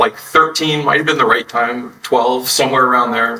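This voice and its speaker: Very fast talk from a man with an American accent over noticeable background noise. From Texas. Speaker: entrepreneur. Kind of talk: interview.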